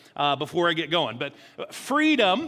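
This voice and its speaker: A man speaks in a raised, projected voice. His tone is bright and sharp. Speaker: lead pastor. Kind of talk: sermon. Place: church.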